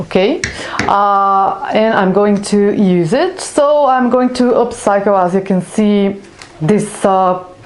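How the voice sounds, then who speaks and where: A woman's medium-pitched voice with a non-native accent, very slow pace, ordinary pitch variation and very even loudness, in audible room echo with noticeable background noise. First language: not English. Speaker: craft YouTuber. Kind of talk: tutorial. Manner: halting, many fillers.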